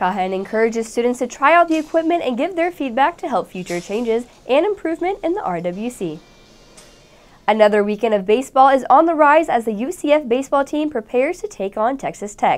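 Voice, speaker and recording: Her voice is high for a woman, with very wide pitch swings, and she talks at a fairly quick pace. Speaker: student news anchor. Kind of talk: news reading. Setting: studio. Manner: formal; steady, polished broadcast delivery. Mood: bright, friendly. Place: studio.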